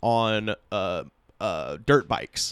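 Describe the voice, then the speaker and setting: An American accent comes through in a very clean recording with a silent background. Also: man. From US South, Auburn, Alabama. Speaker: comedian and podcaster. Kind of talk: casual chat. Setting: home studio.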